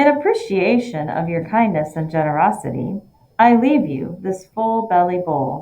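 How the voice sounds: The speaker reads in a natural voice.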